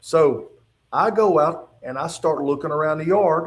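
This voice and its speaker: With an Appalachian accent, a man talks in a high voice with ordinary pitch variation. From West Virginia. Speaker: retired state trooper. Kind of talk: testimony. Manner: halting.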